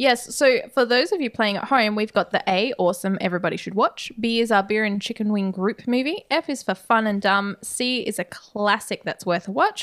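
A woman with a normal speaking voice talks at a moderate pace, with hardly any pauses, a fairly high pitch and ordinary pitch variation. The sound is dry and close, with no echo. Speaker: podcast co-host. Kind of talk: casual chat, horror movie discussion.

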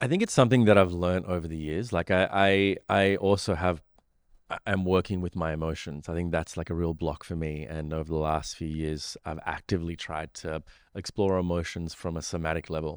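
A man with an Australian accent speaks at a fairly quick pace in a very deep, low voice with fairly even intonation, on a very clean recording with a silent background. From Sri Lanka and Australia. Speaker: meditation teacher and mindfulness studio co-founder. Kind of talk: casual interview chat. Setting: studio.

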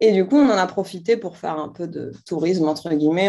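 A woman with an unremarkable speaking voice talks at a fairly quick pace and a medium pitch. Her pitch varies in an ordinary way against a quiet background. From Algeria, Algiers. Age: 30s. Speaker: entrepreneur, brand founder. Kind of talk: interview.

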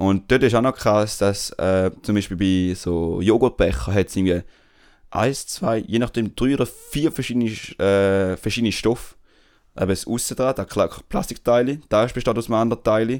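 A man talks at a moderate pace in a medium pitch with ordinary pitch variation. The recording is very clean, with a silent background. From Switzerland, Tamil family. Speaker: podcast co-host. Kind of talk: casual chat.

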